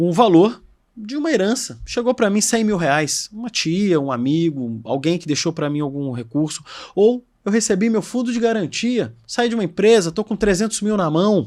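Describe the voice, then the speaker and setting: The speaker talks with a Brazilian accent at a moderate pace. Their pitch swings very widely. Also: man, high pitch for a man. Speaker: podcast host. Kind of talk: podcast interview. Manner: casual, conversational.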